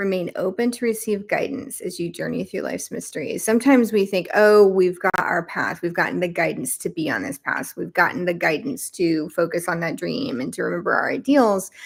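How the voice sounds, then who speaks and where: Lively intonation and vocal fry mark a woman's medium-pitched voice. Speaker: tarot card reader. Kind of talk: live stream deck flip-through and reading. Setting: live stream.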